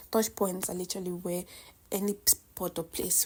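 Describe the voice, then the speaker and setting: Someone with a non-native accent speaks at a moderate pace in a very clean recording with a silent background. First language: not English. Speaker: cooking vlogger. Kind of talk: casual cooking vlog chat. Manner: chatty, halting with self-corrections.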